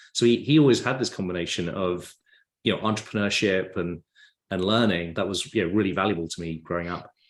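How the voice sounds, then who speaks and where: Speaking very fast in an English accent, this voice shows ordinary pitch variation against a quiet background. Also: man, very deep, low pitch for a man. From England. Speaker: tech company founder. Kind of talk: podcast interview.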